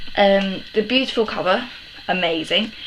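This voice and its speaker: A woman with a British accent speaks at a moderate pace. Noticeable background noise sits behind her. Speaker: book vlogger. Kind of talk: casual chat. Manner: hesitant, many ums.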